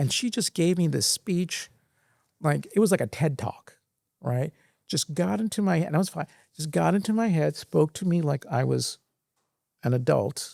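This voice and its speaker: A man with an American accent speaks at a moderate pace in a fairly high pitch, leaving long, frequent pauses, in a very clean recording with a silent background and a dry, close sound with no echo. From Sri Lanka, then Singapore, US and India. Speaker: former finance executive. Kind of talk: interview. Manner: halting.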